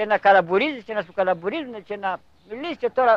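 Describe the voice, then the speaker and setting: A man's high voice at a fairly quick pace, with ordinary pitch variation. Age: 70s. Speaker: elderly villager. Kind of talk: documentary interview.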